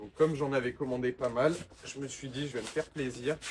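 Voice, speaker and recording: The man's voice is medium in pitch and somewhat breathy, and he keeps a moderate pace. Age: 20s. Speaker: window cleaning entrepreneur and YouTuber. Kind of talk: unboxing video, casual talk to camera. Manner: relaxed, with filler hesitations.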